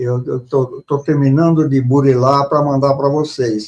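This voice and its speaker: A man with a dark, mellow tone and a fairly high pitch speaks at a fairly slow pace with fairly even intonation. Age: 80s+. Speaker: author. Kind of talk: interview. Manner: halting, repeats words.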